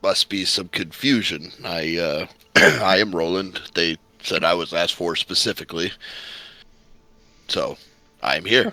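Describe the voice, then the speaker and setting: In a put-on character voice, a man speaks with a very deep, low pitch, a warm, raspy tone and ordinary pitch variation, at a fairly slow pace with long, frequent pauses. The recording is very clean, with a silent background and a dry, close sound with no echo. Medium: actual play. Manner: hearty, warm.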